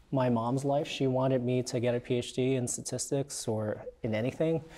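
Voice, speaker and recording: Here a man speaks at a moderate pace. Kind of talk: interview answer. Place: studio. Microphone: lapel.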